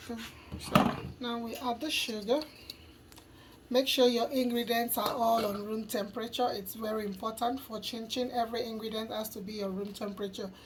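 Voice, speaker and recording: Over noticeable background noise, a woman speaks in a fairly high pitch with monotone, flat intonation. She keeps a moderate pace and leaves long, frequent pauses. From Nigeria. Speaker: cooking youtuber. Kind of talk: cooking tutorial.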